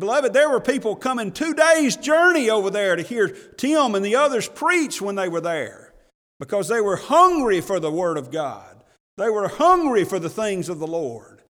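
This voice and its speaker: Very wide pitch swings mark this moderately paced voice with an Alabama accent. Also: man, high pitch for a man, very clean recording, silent background. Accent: Southern US (Alabama). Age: 50s. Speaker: pastor. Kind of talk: sermon. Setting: church.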